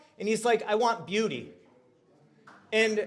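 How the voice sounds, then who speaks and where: With an extremely high pitch, a man uses a raised, projected voice in an animated tone. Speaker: community activist and speaker. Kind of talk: short public talk. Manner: loud.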